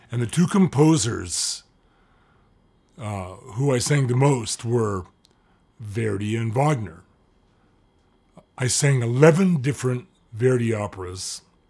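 A man speaks at a very slow pace with long, frequent pauses, his voice somewhat breathy and his intonation lively. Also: quiet background. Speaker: lecturer. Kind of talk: lecture. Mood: warm, lightly humorous. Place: home room.

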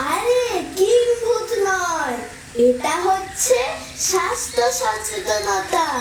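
A woman's put-on character voice at an extremely high pitch and a very slow pace, with slight echo and clear background noise. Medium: voice reel. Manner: earnest, brisk.

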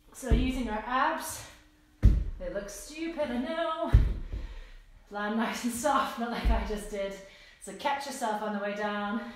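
Amid light background noise and strong room echo, a woman speaks at a fairly slow pace with lively intonation and long, frequent pauses. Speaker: fitness instructor. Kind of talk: live workout instruction. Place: home room. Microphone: camera far.

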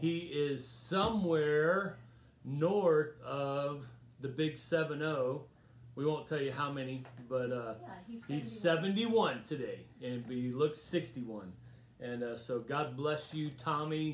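Speech comes at a very slow pace with ordinary pitch variation. There is light background noise and audible room echo. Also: man. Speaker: pastor leading Bible study. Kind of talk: casual address to an online congregation. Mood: warm, celebratory. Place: home room. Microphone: phone near.

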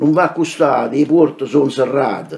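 Very slowly, a man speaks. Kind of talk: poetry reading.

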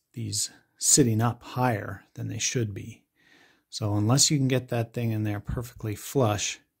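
The background is quiet. A man speaks with fairly even intonation and a somewhat breathy voice. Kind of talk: tutorial. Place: workshop. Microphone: phone near.

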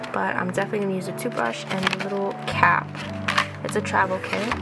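There is music in the background. A woman talks at a fairly quick pace. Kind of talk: casual haul vlog chat. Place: home room.

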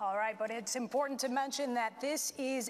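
Light background noise is present behind a woman. She uses a fairly high pitch with ordinary pitch variation. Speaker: TV news anchor moderating forum. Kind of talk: debate moderation. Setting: school auditorium with audience. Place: hall. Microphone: lapel.

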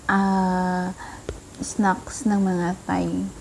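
There is light background noise behind a woman's voice. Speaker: food vlogger. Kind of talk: casual vlog chat. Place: home room. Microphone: phone near.

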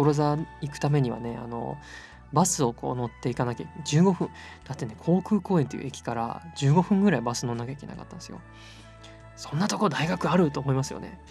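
With music in the background, a man of medium pitch talks at a very fast pace. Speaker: voice actor. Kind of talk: sleep-aid casual talk. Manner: soft-spoken, relaxed.

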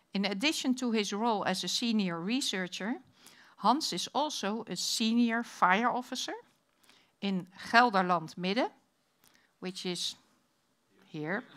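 Against a quiet background, a woman with a Dutch accent talks at a fairly slow pace with lively intonation and a fairly high pitch, leaving long, frequent pauses. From Netherlands. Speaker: conference moderator and fire chief. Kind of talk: session moderation. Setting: stage with audience. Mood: friendly, light. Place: hall. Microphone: podium.

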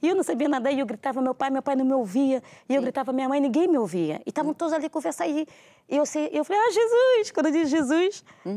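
A woman's high voice with a dark, mellow tone, very fast and swinging very widely in pitch, in a dry, close sound with no echo. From Brazil, Rio de Janeiro and Brasília. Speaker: pastor. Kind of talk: testimony.

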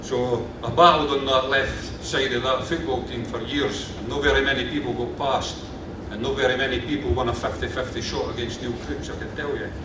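With noticeable background noise and audible room echo, a man speaks at a moderate pace with fairly even intonation. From Scotland, Kirkcaldy, Fife. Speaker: local councillor. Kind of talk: ceremonial speech. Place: hall. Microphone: podium.

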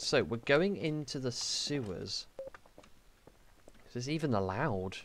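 Here a man with a medium pitch talks at a fairly slow pace, his voice making very wide pitch swings. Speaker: gaming youtuber. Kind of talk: let's play commentary.

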